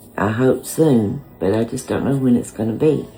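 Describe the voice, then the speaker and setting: With music in the background, a woman speaks in a very deep, low pitch with ordinary pitch variation. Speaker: home cook vlogger. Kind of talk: casual talk to camera.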